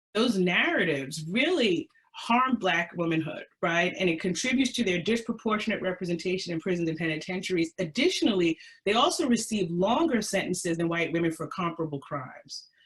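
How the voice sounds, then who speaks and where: A woman's normal speaking voice with an American accent, at medium pitch, with lively intonation, a fairly quick pace and hardly any pauses. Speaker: historian presenter. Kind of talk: webinar presentation. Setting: webinar.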